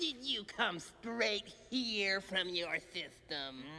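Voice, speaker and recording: A cartoonish character voice drags along at a very slow pace over clear background noise. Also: female-sounding voice, medium pitch for a woman. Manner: brisk, officious.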